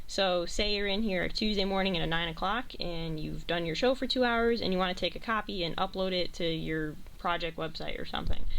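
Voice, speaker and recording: A woman of medium pitch talks at a fairly quick pace with hardly any pauses, and audible room echo surrounds her voice. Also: ordinary pitch variation. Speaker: college radio station manager. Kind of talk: tutorial. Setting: radio studio. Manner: loud.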